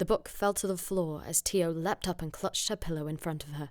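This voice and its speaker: In a very clean recording with a silent background, a woman with fairly low pitch and fairly even intonation speaks in an unremarkable speaking voice. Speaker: voice actor. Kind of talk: audiobook reading.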